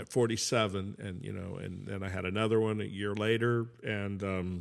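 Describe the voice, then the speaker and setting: With an American accent, a man speaks at a moderate pace in a fairly low pitch and a monotone, flat intonation. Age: 70s. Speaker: former music promoter. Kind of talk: casual chat. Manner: halting.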